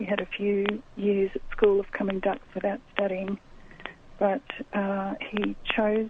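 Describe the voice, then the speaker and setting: Against noticeable background noise, a woman with a medium pitch talks at a fairly slow pace in a monotone, flat intonation, leaving long, frequent pauses. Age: 60s. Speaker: author interviewed about grief. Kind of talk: radio interview.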